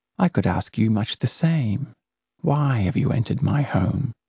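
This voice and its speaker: A man's put-on character voice, raspy at a medium pitch, delivered at a moderate pace. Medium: read story. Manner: soft, wheedling.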